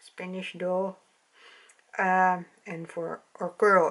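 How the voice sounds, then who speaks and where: The woman's voice sits fairly low in pitch. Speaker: doll hobby vlogger. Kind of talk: casual vlog chat. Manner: hesitant, halting, searching for words. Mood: calm, soft and friendly. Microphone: camera far.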